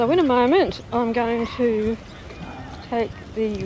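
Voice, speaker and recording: Very slow speech with ordinary pitch variation, dry and echo-free, against light background noise. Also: woman. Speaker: trike rider reviewing microphones. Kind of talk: casual vlog chat. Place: bicycle. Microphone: lapel.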